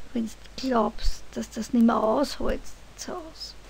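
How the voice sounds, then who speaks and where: Speaking at a very slow pace, a woman with a Viennese accent uses a high pitch. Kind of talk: poetry reading.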